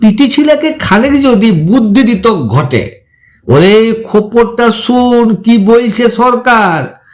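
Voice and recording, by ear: A man puts on a character voice at an extremely high pitch. He speaks slowly with lively intonation.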